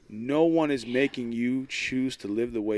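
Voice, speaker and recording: A man talks at a fairly slow pace in an unremarkable speaking voice, with ordinary pitch variation. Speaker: podcast co-host. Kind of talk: casual chat.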